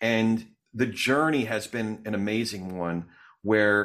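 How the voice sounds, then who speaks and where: On a very clean recording with a silent background, a man with an American accent and a normal speaking voice talks at a fairly slow pace, his fairly low pitch showing ordinary variation. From New Jersey. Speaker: podcast host. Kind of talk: interview conversation, casual.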